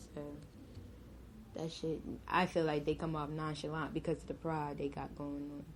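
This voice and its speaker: Speaking at a fairly slow pace, a woman has a fairly low pitch and a dark, mellow tone. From New Jersey, Willingboro. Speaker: podcast guest. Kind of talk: casual chat.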